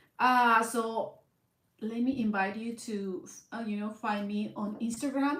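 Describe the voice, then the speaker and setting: A woman with a Mexican accent speaks at a fairly high pitch and a fairly slow pace with ordinary pitch variation. Audible room echo surrounds her voice. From Southern California, Mexican-born. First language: Spanish. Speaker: blind content creator. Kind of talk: casual vlog monologue. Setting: live stream at home in front of camera. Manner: hesitant, many fillers.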